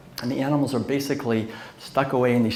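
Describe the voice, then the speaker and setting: There is audible room echo and noticeable background noise as a man talks fairly quickly at a medium pitch. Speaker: lecturer and author. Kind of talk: lecture. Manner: conversational with fillers.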